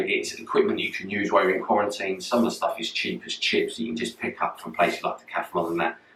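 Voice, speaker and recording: A man's speech comes through with noticeable background noise. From London. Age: 40s. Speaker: personal trainer. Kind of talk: fitness tutorial. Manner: casual.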